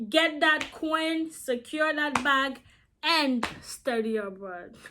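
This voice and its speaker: Raising and projecting her voice, a woman talks with lively intonation and a non-native accent. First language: not English. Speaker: YouTuber. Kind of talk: casual vlog talk. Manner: animated.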